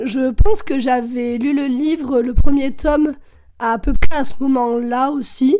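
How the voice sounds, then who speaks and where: High-pitched for a woman, her voice carries a dark, mellow tone. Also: ordinary pitch variation. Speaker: podcast guest. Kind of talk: casual chat. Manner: hesitant, many fillers.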